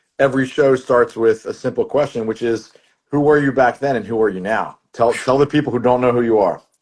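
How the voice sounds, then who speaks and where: A man speaks at a fairly quick pace. His pitch varies an ordinary amount. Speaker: podcast host and English teacher. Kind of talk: casual interview chat. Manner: animated.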